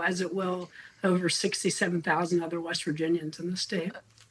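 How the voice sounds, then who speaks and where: Speaking at a moderate pace, a woman has an ordinary speaking voice at medium pitch. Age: 60s. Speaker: health care advocate. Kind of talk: news interview.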